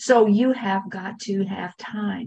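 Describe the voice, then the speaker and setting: A woman's somewhat breathy voice sits at a medium pitch with ordinary pitch variation. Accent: American. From Kansas. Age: 80s+. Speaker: author. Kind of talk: testimony. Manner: measured pace.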